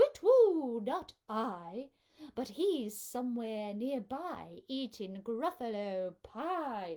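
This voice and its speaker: A woman's put-on character voice, fairly high in pitch, delivered at a very slow pace. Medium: read story.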